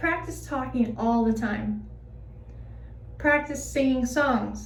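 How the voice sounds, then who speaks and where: Very slow delivery with audible room echo. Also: woman. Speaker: vlogger sharing personal experience. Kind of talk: personal vlog. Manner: hesitant with fillers.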